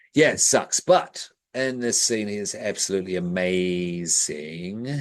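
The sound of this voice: A man speaks in a low voice. His pace is fairly slow, and his pitch moves in an ordinary way.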